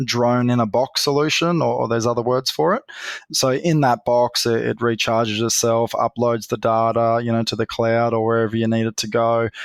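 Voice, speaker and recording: Fairly quick and fairly even in intonation, a man with an Australian accent speaks at a medium pitch in a dry, close sound with no echo. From Australia, North West Queensland. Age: 40s. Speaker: grazier and drone company founder. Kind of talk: podcast interview.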